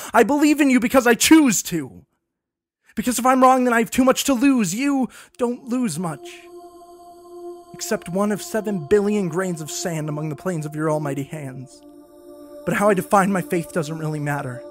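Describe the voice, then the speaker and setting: With music in the background, the speaker keeps a moderate pace, takes long, frequent pauses and makes very wide pitch swings. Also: man, high pitch for a man. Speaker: spoken word poet. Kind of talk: spoken word poetry performance.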